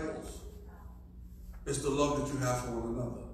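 A man is speaking over light background noise. The room gives his voice a strong echo. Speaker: pastor. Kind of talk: Bible study teaching with congregation responses. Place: church.

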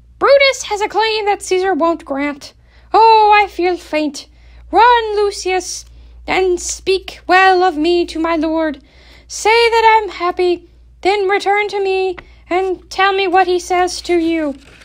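At a fairly slow pace, a woman speaks in an extremely high pitch. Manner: anxious, urgent.

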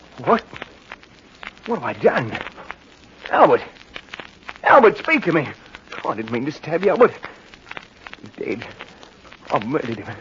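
A man performs a put-on character voice, fairly high and fairly bright, with a husky, rough edge. He speaks at a fairly slow pace with big pitch swings and long, frequent pauses.

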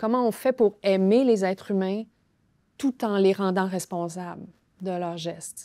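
A woman with a Quebec accent, dark and mellow in tone, very slow, with long and frequent pauses, fairly even intonation, a quiet background and a dry sound with no echo. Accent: Québécois French. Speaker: novelist and playwright; guest. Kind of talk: interview. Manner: halting. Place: studio. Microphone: lapel.

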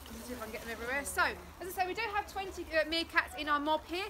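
Over clear background noise, a woman talks at a very fast pace in a high pitch with lively intonation.

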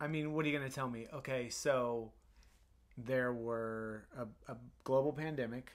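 The pace is moderate, broken by long, frequent pauses. Intonation stays fairly even against a quiet background. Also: man, medium pitch for a man. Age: 30s. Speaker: podcast co-host. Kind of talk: casual chat. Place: home room. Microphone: studio mic.

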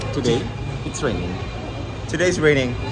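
With music playing behind him, a man is talking. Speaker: travel vlogger. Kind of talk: casual vlog chat. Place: street. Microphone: phone near.

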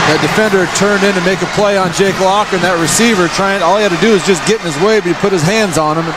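Over noticeable background noise, a man with a high pitch races along at a very fast pace with hardly any pauses. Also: fairly even intonation. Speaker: on-field analyst. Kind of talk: sideline analyst commentary, measured and opinionated. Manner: measured, analytical, assured, fairly conversational.

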